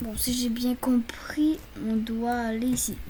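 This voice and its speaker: Against noticeable background noise, a soft-spoken woman talks at a high pitch. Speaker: video game streamer. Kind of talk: gameplay commentary. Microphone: voice too quiet, game sound louder.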